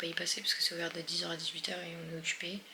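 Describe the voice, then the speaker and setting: Noticeable background noise and audible room echo. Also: woman. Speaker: travel vlogger. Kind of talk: casual vlog talk to camera. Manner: animated.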